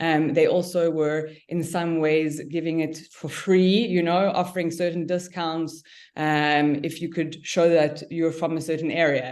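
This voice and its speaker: A woman with a South African accent, fairly low in pitch, monotone and flat, at a fairly slow pace with hardly any pauses, against a quiet background. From South Africa, Cape Town. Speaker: cannabis business owner. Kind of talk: podcast interview. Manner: halting.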